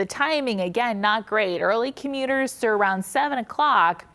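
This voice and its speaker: With an American accent and a plain, everyday voice, a woman talks at a moderate pace with a fairly high pitch, ordinary pitch variation and very even loudness. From Cincinnati, Ohio. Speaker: meteorologist. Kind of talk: daily forecast segment.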